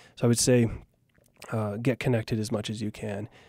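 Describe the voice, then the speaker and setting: In a very clean recording with a silent background and a dry, close sound without echo, a man with an American accent speaks at medium pitch and moderate pace in a dark, mellow tone with flat, monotone intonation. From US Pacific Northwest, Oregon. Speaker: startup co-founder. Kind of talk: interview. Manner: halting.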